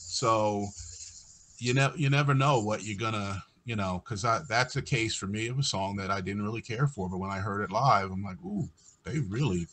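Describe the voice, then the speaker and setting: A man with an unremarkable speaking voice and an American accent talks at a moderate pace, his fairly low pitch showing ordinary variation. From United States. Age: 60s. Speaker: podcast host. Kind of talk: casual chat.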